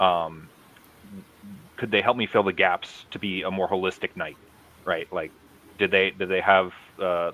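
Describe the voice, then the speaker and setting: Here a man speaks with an American accent at a moderate pace. His pitch is very deep and low, with fairly even intonation. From US Midwest, Madison, Wisconsin. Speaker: combat martial artist. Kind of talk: casual interview.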